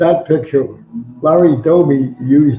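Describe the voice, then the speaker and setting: A man talks at a fairly slow pace. Music plays behind him. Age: 90s. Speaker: sports writer and author. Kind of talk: interview storytelling.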